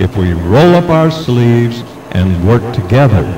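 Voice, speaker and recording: A man speaks at a fairly slow pace with a medium pitch and very wide pitch swings. Music plays in the background, and the room echo is audible. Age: 70s. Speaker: political candidate. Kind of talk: campaign speech. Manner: formal.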